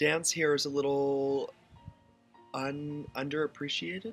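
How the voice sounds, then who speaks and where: Music plays behind a man with an American accent who speaks at a medium pitch. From Waynesburg, Pennsylvania. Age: 20s. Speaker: modern dancer, choreographer and yoga teacher. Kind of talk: interview answer.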